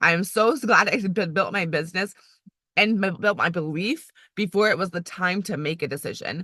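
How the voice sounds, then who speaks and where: Her tone bright and sharp, a woman speaks at a fairly quick pace with lively intonation. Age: 30s. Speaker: area manager in direct sales, former college volleyball coach. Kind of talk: motivational team call. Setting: online call. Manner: fast.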